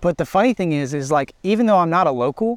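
A man with an Alabama accent talks at a very fast pace in a high pitch, with a dry, close sound and no echo. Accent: Southern US (Alabama). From US South, Alabama (Birmingham area). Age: 20s. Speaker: student pastor and worship leader. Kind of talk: casual chat. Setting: outdoors, park.

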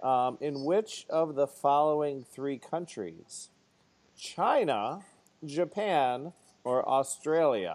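A man with an American accent speaks very slowly at a fairly high pitch, his intonation lively. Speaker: podcast host. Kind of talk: casual chat.

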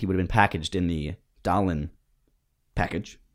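A man speaks very fast at a very deep, low pitch with ordinary pitch variation. The recording is very clean, with a silent background. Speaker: podcast host. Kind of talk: casual comedic banter; comedy ad parody. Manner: mock-salesman patter, bouncy and exaggerated.

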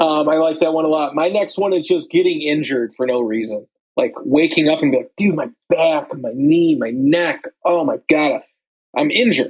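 Lively intonation runs through a normal speaking voice. The pace is moderate. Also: man, fairly high pitch for a man. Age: 20s. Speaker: podcast co-host. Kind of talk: casual chat.

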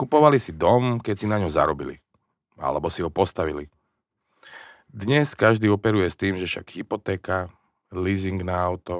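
A man speaks with a very deep, low pitch and long, frequent pauses. The sound is dry and close, with no echo. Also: lively intonation, moderate pace, quiet background. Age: 40s. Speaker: podcast host. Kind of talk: interview.

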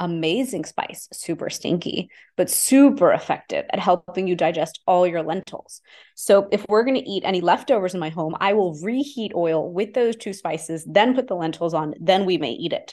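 A woman with a Texas accent at medium pitch, moderate in pace with lively intonation, over a quiet background. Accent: American, Texas. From Houston, Texas, US (Indian immigrant family). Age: 40s. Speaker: Ayurvedic practitioner. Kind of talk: interview.

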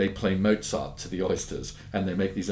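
In a room with audible echo, a man speaks at a moderate pace in a very deep, low voice. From London, England. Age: 50s. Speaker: pearl dealer. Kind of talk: interview.

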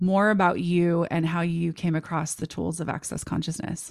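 Recorded very cleanly against a silent background, a woman with an unremarkable speaking voice talks at a fairly low pitch and a fairly slow pace, her intonation fairly even. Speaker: podcast host. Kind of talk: casual interview chat.

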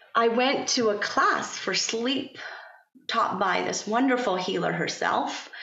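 A woman's fairly high-pitched voice at a moderate pace, with noticeable background noise. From Iran. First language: Persian. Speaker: pharmacist turned yoga instructor and parent coach. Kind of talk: casual interview conversation. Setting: California.

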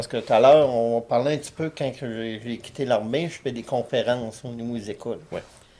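A man's dark, mellow tone at medium pitch, with fairly even intonation. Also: moderate pace. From Quebec, Abitibi. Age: 60s. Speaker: war veteran. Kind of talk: casual interview.

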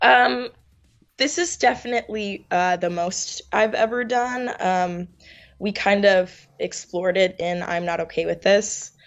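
With an American accent, a woman talks in a normal speaking voice at a medium pitch, using ordinary pitch variation and a fairly slow pace. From New York. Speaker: actress. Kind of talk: interview.

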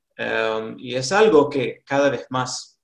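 A man talks at a very slow pace. He has a slight Rioplatense accent. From US South, North Carolina. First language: English (speaking Spanish). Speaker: college administrator. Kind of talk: interview.

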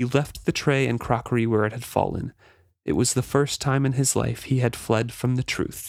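An unforced reading voice. The intonation stays fairly even.

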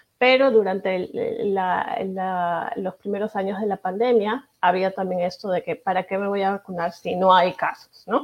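A woman talks at a fairly slow pace with hardly any pauses. She has a normal speaking voice at a medium pitch. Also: fairly even intonation. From Peru. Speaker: pediatric infectious disease doctor. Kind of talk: interview.

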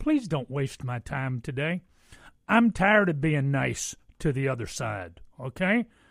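Speaking at a fairly slow pace, a man uses a fairly high pitch with very wide pitch swings and an animated tone. The sound is dry and close with no echo. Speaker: fill-in radio talk show host. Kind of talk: call-in talk radio. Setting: radio studio.

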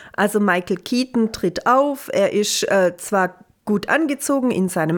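This woman's voice sits fairly high in pitch. Her intonation is lively, and she talks at a fairly slow pace. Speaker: film podcast co-host. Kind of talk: casual chat.

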